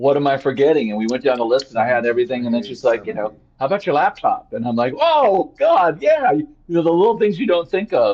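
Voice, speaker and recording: In an American accent, the speaker talks at a very fast pace with very wide pitch swings. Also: man, fairly high pitch for a man. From California, Ventura County. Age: 60s. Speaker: fire evacuee. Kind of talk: interview. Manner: halting, repetitive.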